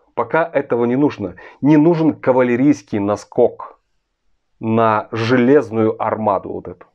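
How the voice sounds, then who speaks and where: A man talks with ordinary pitch variation, and the background stays quiet. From Russia. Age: 40s. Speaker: political commentator. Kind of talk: video monologue. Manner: earnest. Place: home room. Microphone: phone near.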